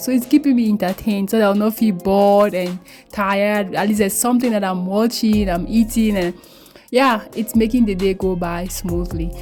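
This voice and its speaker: Over music in the background, a woman with a Cameroonian accent speaks fairly quickly in a fairly high voice with ordinary pitch variation. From Cameroon, English-speaking region. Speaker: beauty vlogger. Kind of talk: tutorial. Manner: casual, chatty.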